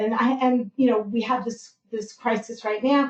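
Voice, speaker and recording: Here is a plain, everyday voice from a woman with a fairly high pitch. She moves at a fairly quick pace. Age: 60s. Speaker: nurse. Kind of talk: health talk on a live podcast.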